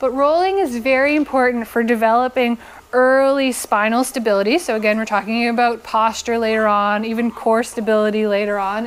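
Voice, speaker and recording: Over noticeable background noise, a woman talks at a fairly quick pace in a fairly high pitch with fairly even intonation. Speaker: chiropractor. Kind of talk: lecture. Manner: fast.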